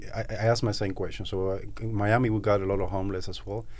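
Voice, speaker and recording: A man with a Cuban accent at a very fast pace. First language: Spanish. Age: 30s. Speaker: Amazon seller and entrepreneur, Cuban emigrant. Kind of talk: casual interview conversation.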